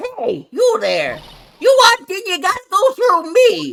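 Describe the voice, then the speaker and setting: Someone speaks in a put-on character voice, extremely high-pitched and at a fairly slow pace. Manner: tough, confrontational.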